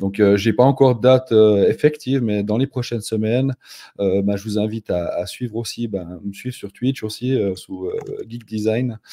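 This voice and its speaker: With a Swiss accent, a man talks at a fairly low pitch with a dark, mellow tone. His intonation is fairly even and his pace moderate. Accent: Swiss French, noticeable. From Switzerland, canton of Fribourg. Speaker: no-code consultant. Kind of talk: live stream conversation. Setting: live stream.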